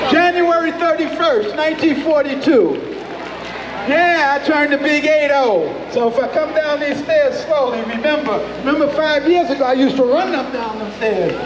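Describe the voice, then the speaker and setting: An extremely high-pitched man's voice at a moderate pace with ordinary pitch variation, crowd noise in the background and audible room echo. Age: 80s+. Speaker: event emcee. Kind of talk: live event announcing. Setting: outdoor event with crowd, on wireless mic. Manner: animated.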